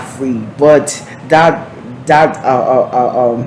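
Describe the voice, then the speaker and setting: Very slow male speech amid noticeable background noise. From Liberia. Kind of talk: TV talk show interview. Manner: halting, repetitive.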